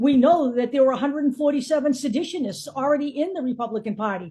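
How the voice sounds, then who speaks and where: A woman with an American accent speaks at a very fast pace and high pitch, her tone dark and mellow, with ordinary pitch variation over a quiet background. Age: 70s. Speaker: political commentator. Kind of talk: casual political monologue.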